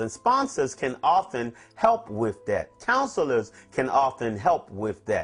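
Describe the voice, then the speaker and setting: The voice makes very wide pitch swings while music plays in the background. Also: man. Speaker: twelve-step recovery speaker. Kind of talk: talk on a recovery step. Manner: fast.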